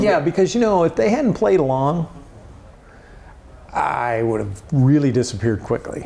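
The pitch of this man's voice swings very widely. He keeps a moderate pace. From Indiana, USA. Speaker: former TV sports anchor and radio character actor. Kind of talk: interview answer. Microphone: lapel.

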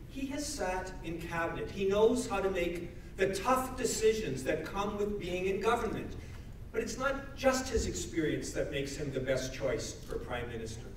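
Amid light background noise and audible room echo, a man talks at a moderate pace in a high pitch. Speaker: member of parliament. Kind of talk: rally speech. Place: hall.

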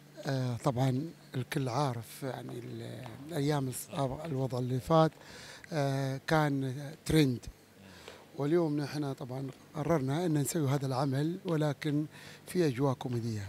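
Over light background noise, a man speaks fairly slowly with fairly even intonation and a dry sound with no echo. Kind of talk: interview answer. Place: hall. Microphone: handheld.

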